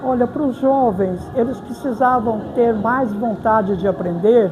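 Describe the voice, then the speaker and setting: A woman with a fairly high pitch and ordinary pitch variation talks at a moderate speed, with noticeable background noise and audible room echo in the recording. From Brazil, Varginha, southern Minas Gerais. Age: 80s+. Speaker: crochet artisan. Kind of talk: interview.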